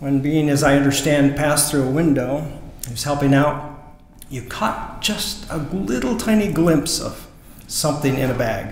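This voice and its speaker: Audible room echo and light background noise surround a man speaking. He keeps a moderate pace and ordinary pitch variation. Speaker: presenter. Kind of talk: presentation speech to audience. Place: church. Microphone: podium.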